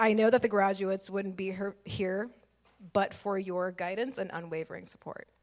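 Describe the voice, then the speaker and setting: A woman with an American accent speaks in a plain, everyday voice at a medium pitch. Her pace is moderate and her intonation fairly even. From Texas. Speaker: lawyer, keynote speaker. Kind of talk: keynote speech. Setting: stage with audience.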